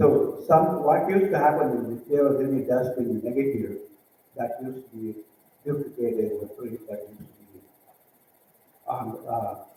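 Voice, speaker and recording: In an Indian accent, a man talks at a moderate pace with long, frequent pauses and ordinary pitch variation. His loudness swings a lot, and room echo is audible. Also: fairly high pitch for a man. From southern India. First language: a southern Indian language. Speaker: visual artist. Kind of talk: presentation. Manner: halting, many fillers.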